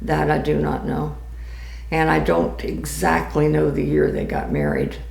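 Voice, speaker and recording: Audible room echo around a woman speaking at a fairly slow speed. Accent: American. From Florida, Tampa. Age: 80s+. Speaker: grandmother telling life story. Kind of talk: oral history interview.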